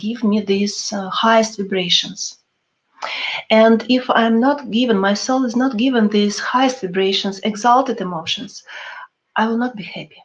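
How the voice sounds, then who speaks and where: A woman speaks with a non-native accent, her pitch fairly high and her delivery fairly slow. Her voice is somewhat breathy, and her intonation stays fairly even. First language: not English. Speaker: spiritual teacher. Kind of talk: webinar talk. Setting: online webinar. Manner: halting.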